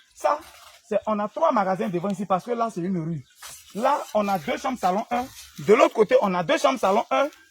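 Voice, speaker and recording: Over noticeable background noise, a man with an Ivorian accent speaks in a high voice with very wide pitch swings. His delivery has long, frequent pauses, and the sound is dry and close with no echo. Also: fairly quick pace. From Côte d'Ivoire. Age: young. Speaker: herbal remedy seller, former street vendor. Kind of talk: casual talk to camera, building site tour.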